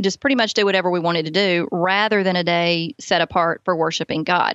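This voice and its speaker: A woman speaks with a Southern US accent. Her pitch is medium. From US South, Alabama. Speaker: author and parenting speaker. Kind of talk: testimony.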